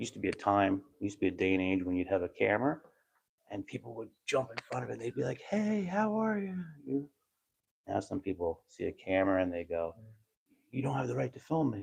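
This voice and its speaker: A man whispering at a very fast pace. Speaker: first amendment auditor livestreamer. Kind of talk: live stream commentary. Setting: indoors in city hall hallway.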